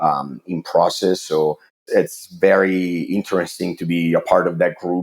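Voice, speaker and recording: An Italian accent colors a man's very deep, low-pitched voice. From Italy. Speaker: water treatment chemist. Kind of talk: podcast interview. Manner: halting, many fillers.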